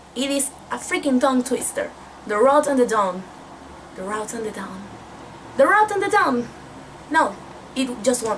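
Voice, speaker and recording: Amid noticeable background noise, a woman speaks at a high pitch and moderate pace, with very wide pitch swings, big swings in loudness and long, frequent pauses. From Mexico. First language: Spanish. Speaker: book vlogger. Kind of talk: casual book review vlog.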